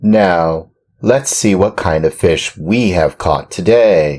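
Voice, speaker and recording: Putting on a character voice, a man speaks at a very slow pace with a fairly low pitch. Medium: read story. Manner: greedy, relishing food.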